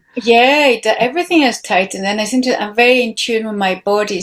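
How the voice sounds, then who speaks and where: With a non-native accent, a woman speaks in fairly even intonation. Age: 50s. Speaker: guest on a women's podcast. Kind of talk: casual chat. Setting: video call.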